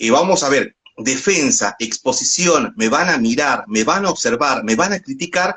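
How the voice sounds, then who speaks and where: A man's fairly high voice makes very wide pitch swings at a very even loudness. He goes at a fairly slow pace with hardly any pauses. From northwest Argentina. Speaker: radio announcer and doctoral student. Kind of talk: interview answer.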